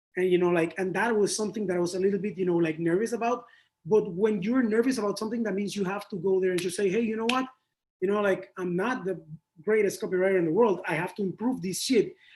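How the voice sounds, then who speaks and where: Talking at a very fast pace, a man with a high pitch speaks with a Spanish accent. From Panama. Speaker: advertising creative. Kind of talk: interview. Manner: animated.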